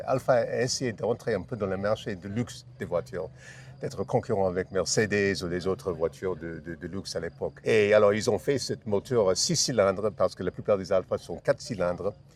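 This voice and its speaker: Talking at a fairly quick pace, a man with an American accent has a fairly low pitch and ordinary pitch variation. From United States. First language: English (speaking French). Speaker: classic car owner. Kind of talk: interview. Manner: halting, many hesitations and repetitions.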